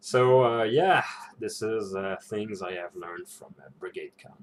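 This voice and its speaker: This man talks at a fairly slow pace with a non-native accent. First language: not English. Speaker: role-playing game vlogger. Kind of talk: casual reflection vlog. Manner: halting, many fillers and repetitions.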